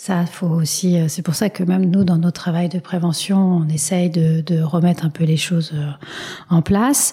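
Against noticeable background noise, a woman talks at a fairly slow pace and fairly low pitch with fairly even intonation. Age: 40s. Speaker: patient advocacy association president. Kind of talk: interview. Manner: halting.

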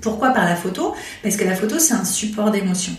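Moderate pace, noticeable background noise and audible room echo. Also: woman. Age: 40s. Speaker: phototherapist. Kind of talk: interview.

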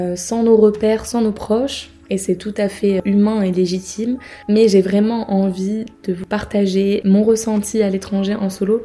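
Over noticeable background noise, a woman speaks at medium pitch. Her pace is very slow and her intonation is monotone and flat. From southern France, between Marseille and Nice. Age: 20s. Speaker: travel podcaster. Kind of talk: casual monologue.

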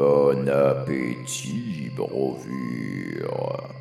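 A man performs a put-on character voice. Clear music plays in the background, with a slight echo.

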